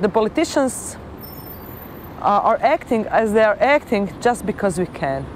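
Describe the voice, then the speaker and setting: A woman's fairly high voice with very wide pitch swings, a moderate pace and long, frequent pauses, set against noticeable background noise. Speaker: politician. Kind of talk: interview.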